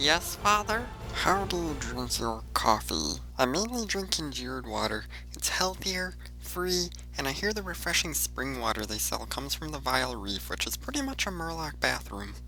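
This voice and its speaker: Clear background noise behind a put-on character voice moving at a moderate pace. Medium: machinima.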